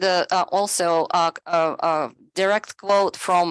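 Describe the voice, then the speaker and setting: A woman speaks at a very slow pace. The background is quiet, and the sound is dry and close with no echo. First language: not English (English is her third language). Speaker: presenter on AI in education. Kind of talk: webinar presentation. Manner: halting, many fillers.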